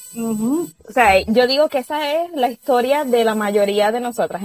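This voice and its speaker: Dry and close with no echo, a woman talks in an ordinary speaking voice at a moderate pace with lively intonation. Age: 30s. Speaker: craft business owner. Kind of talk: interview.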